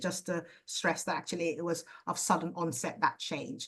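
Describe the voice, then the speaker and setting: The voice of a woman, somewhat breathy, is heard speaking. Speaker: ophthalmologist teaching optometrists. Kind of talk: lecture. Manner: fast.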